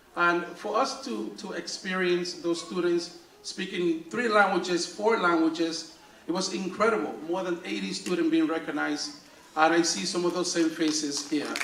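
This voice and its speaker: Over noticeable background noise and audible room echo, a man with a high pitch speaks at a moderate pace with ordinary pitch variation. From Dominican Republic. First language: Spanish. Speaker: school principal. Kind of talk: awards ceremony speech. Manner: halting, many fillers and repeats.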